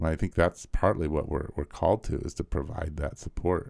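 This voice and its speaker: A man with an American accent speaks at a moderate pace in a very deep, low voice with vocal fry. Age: 50s. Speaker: pastor. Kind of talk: casual chat.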